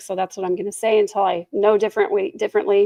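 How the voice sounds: A woman puts on a raspy character voice at a medium pitch. She speaks at a very fast pace.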